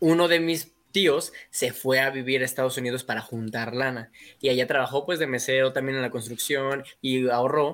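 A plain, everyday voice from a man, medium in pitch, with fairly even intonation at a moderate pace. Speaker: builder. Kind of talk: casual chat.

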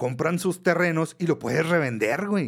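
The recording is very clean, with a silent background. A man speaks at a moderate pace with ordinary pitch variation in a plain, everyday voice. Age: 30s. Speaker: podcast co-host. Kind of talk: casual chat.

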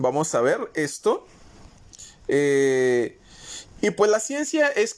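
This is a man speaking. His pitch swings very widely. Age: young. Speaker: podcaster, student. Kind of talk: casual monologue. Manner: informal, with frequent hesitations and laughter; voice occasionally cracks.

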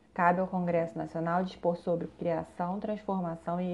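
A woman talks with a Brazilian accent at a fairly low pitch. Her tone is dark and mellow and somewhat breathy. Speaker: narrator of legal text. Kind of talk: reading aloud of constitution text. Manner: formal.

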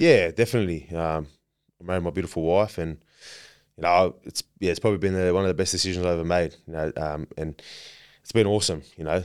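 Here a man with an Australian accent talks at a very fast pace in a very deep, low voice. His intonation is fairly even, and the recording is very clean with a silent background. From western Sydney, Australia. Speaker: rugby league player. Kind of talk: casual chat.

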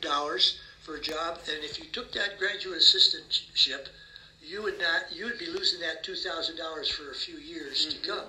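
A man speaks with an American accent at a moderate pace while noticeable background noise runs underneath. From US Midwest (South Bend, Indiana). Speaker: retired college wrestling coach. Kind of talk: interview.

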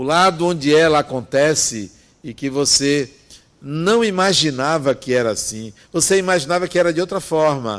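This man, using a normal speaking voice, keeps a moderate pace, his fairly high pitch rising and falling with lively intonation. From Brazil, Bahia interior. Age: 60s. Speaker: spiritist speaker. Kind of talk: spiritual talk.

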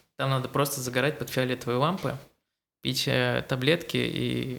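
A man speaks at a moderate pace, his medium-pitched voice marked by vocal fry. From Estonia (Tallinn). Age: 30s. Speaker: lettering artist. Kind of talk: casual chat.

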